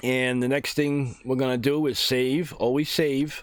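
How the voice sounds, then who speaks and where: Speaking at a fairly slow pace, a man keeps a medium pitch with monotone, flat intonation. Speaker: gaming YouTuber. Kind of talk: tutorial. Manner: casual.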